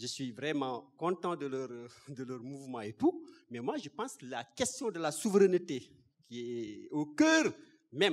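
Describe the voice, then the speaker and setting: Only a quiet background surrounds this man's speech. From Senegal. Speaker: audience member. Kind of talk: audience question. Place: hall.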